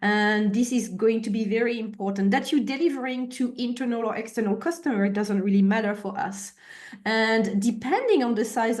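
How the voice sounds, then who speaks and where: With a French accent, the speaker talks at a fairly quick pace with ordinary pitch variation. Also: woman. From France. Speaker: agile consultant / trainer. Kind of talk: webinar presentation. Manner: hesitant fillers.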